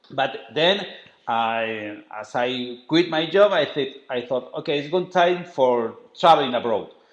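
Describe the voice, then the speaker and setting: A man with a strong Spanish accent speaks at a fairly slow pace, his fairly high voice carrying lively intonation. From Spain. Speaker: travel writer and documentary maker. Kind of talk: interview. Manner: halting.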